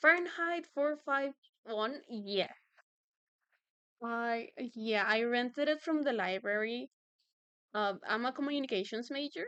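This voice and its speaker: A bright, sharp tone in a Spanish accent, lively intonation, a fairly slow pace and long, frequent pauses. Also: woman, high pitch for a woman. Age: 20s. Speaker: streamer and artist. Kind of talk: casual chat. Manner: halting.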